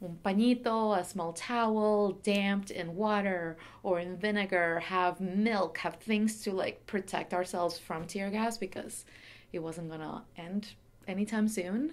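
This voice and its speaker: Fairly slow and fairly even in intonation, a woman with a Venezuelan accent speaks at a medium pitch. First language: Spanish. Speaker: curator, former human rights lawyer. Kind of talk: oral history interview. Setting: pop-up story booth at exhibition reception.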